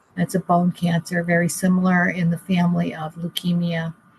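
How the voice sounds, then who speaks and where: A woman speaks in a monotone with flat intonation, fairly low pitch and a somewhat breathy sound, recorded dry and close with no echo. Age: 60s. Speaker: caregiver. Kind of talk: interview. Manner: halting.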